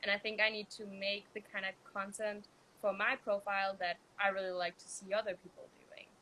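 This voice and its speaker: Bright and sharp in tone, a woman of medium pitch talks at a moderate pace with a Danish accent. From Denmark. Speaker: vegan food creator. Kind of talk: casual interview. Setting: Instagram live video.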